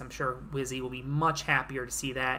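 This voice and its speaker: A woman speaks with audible room echo. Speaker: simulated league commentator. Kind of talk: play-by-play commentary.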